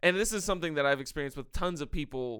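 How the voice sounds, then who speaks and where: Loud and bright with a sharp tone, a man speaks at a fairly high pitch with ordinary variation in a very clean recording with a silent background. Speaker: podcast co-host. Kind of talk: casual chat.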